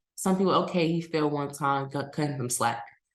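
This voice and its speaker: An American-accented female voice in a room with audible echo. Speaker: podcast host. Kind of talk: casual commentary monologue.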